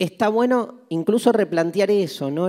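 A man with a Rioplatense accent. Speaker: philosophy lecturer. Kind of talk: lecture.

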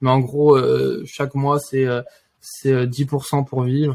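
A man's somewhat breathy voice stays monotone and flat. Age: 20s. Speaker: engineering student and trader. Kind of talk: interview.

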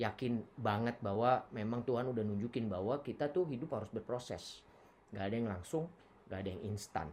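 This is an ordinary speaking voice. The pace is moderate. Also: man. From Palu, Central Sulawesi. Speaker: university student. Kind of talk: casual chat.

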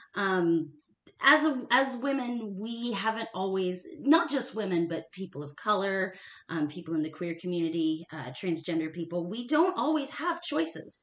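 At a moderate pace, a woman with a medium pitch speaks with very wide pitch swings. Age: 30s. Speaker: nonprofit staff member and history enthusiast. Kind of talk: casual chat.

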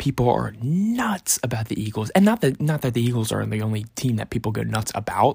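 In a very clean recording with a silent background, a man with a somewhat breathy, medium-pitched voice speaks at a fairly quick pace. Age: 20s. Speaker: podcast host. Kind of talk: casual monologue. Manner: casual, many filler words.

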